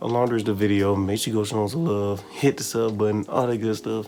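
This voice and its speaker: Speech races at a very fast pace over noticeable background noise. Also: man. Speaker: anime reaction YouTuber. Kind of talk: video reaction commentary. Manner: animated.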